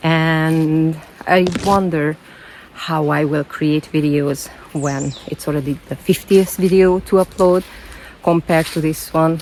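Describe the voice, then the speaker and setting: Over noticeable background noise, a woman speaks at a fairly slow pace in a very deep, low voice with a non-native accent. Her intonation is flat and monotone. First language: not English. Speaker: self-development vlogger. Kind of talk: personal vlog monologue. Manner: halting, repeats words.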